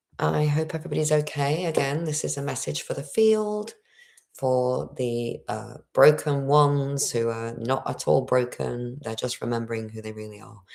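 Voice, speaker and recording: At a moderate pace, a woman with a very deep, low, resonant voice swings very widely in pitch and in loudness. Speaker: spiritual livestreamer. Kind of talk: livestream monologue. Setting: home livestream. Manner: throat clearing.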